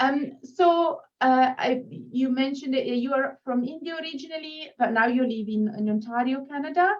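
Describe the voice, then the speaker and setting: Moderately paced female speech, high in pitch, with ordinary pitch variation. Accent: strong non-native. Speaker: children's book interview host. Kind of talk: interview chat.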